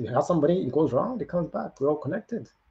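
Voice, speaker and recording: A somewhat breathy voice at a very fast pace. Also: man. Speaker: motivational livestream host. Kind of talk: motivational livestream talk. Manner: animated.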